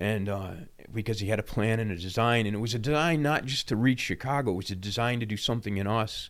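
A man with an American accent, medium pitch and ordinary pitch variation, at a very fast pace, on a very clean recording with a silent background. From Baltimore, Maryland. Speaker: founding pastor. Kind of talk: casual chat.

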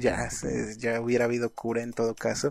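A man talks in a Mexican accent. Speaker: podcast host. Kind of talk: casual chat.

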